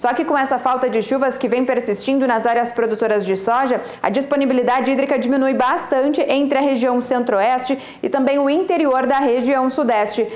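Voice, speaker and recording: A high-pitched woman's voice at a fairly quick pace, very even in loudness, with audible room echo. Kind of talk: weather forecast presentation. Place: studio. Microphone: lapel.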